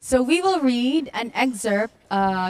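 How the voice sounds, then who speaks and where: A woman speaks with a Western Visayas accent. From Philippines, Western Visayas. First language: Hiligaynon. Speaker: writer at a cultural reading event. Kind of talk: presentation; reading aloud.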